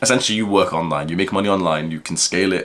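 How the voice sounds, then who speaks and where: An animated man with a British accent. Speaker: self-improvement YouTuber. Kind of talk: casual vlog monologue.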